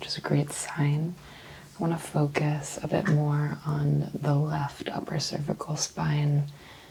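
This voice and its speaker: This soft-spoken woman has a very deep, low pitch. Noticeable background noise sits behind her. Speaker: ASMR role-play chiropractor / doctor. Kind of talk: soft-spoken ASMR role play exam.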